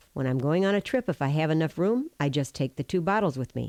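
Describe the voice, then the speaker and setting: A woman speaks at a very deep, low pitch in a dark, mellow tone. The recording is very clean and silent behind her, with a dry, close sound and no echo. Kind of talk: testimonial product endorsement.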